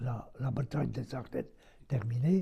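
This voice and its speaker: A man's dark, mellow, somewhat breathy voice. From Belgium. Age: 80s+. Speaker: war veteran. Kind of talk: interview answer.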